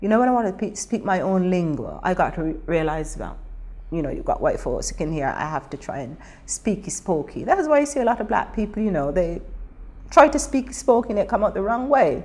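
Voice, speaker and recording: Her medium-pitched voice carries vocal fry and very wide pitch swings at a fairly quick pace. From Barbados. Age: old. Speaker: Windrush generation migrant interviewee. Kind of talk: oral history interview. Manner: animated.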